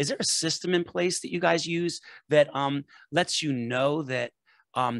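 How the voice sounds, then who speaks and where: The sound is dry and close with no echo, over a quiet background. A man speaks with fairly high pitch and ordinary pitch variation. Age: 60s. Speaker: podcast host. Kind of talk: podcast interview. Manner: casual, animated.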